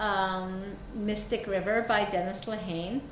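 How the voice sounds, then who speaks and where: A woman speaks very slowly in a Mid-Atlantic American accent, her intonation flat and monotone. The room echoes audibly and background noise is noticeable. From South Korea, moved to suburban Maryland at 11. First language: Korean. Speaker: novelist. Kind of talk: author talk with readings.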